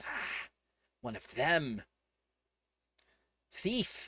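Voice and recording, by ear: A man uses a put-on character voice at a fairly high pitch. Hissing can be heard.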